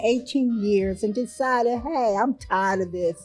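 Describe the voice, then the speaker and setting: A woman with lively intonation at a moderate pace, with music in the background. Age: 60s. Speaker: breast cancer survivor. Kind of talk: testimony.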